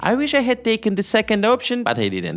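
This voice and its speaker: With a non-native accent, a man speaks in very wide pitch swings. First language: not English. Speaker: YouTube entrepreneur. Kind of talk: talk to camera about making money online.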